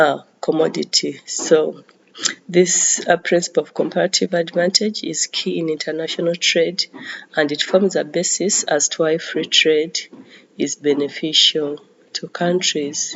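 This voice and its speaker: A woman speaks at a fairly slow pace, with big swings in loudness. Noticeable background noise is present. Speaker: economics teacher. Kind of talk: lecture. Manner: hesitant, many fillers.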